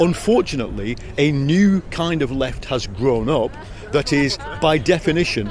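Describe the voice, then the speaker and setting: In an English accent, a man speaks at a moderate pace with a fairly high voice and lively intonation. Audible room echo and noticeable background noise fill the recording. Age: 60s. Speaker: journalist and author. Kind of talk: interview. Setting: political party conference.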